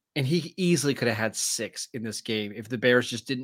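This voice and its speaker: At a moderate pace, a man talks with a bright, sharp tone in a very clean recording with a silent background. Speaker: podcast co-host. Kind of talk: casual sports podcast banter.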